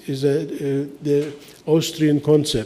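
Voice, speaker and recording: A man talks with a fairly high pitch. There is audible echo in the room. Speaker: architect and lecturer. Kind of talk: lecture. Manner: halting, many fillers.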